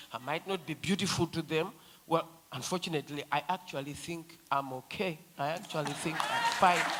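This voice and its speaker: Crowd noise sits in the background as a woman talks at a moderate pace with a fairly low pitch and ordinary pitch variation. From Zimbabwe. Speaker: feminist activist. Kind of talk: panel discussion. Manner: animated.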